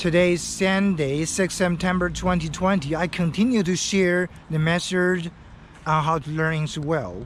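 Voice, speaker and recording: A man with a Chinese accent talks in a fairly high voice. His intonation stays fairly even against noticeable background noise. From China (Henan Province). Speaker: English learning vlogger. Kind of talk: tutorial. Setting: outdoors. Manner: halting.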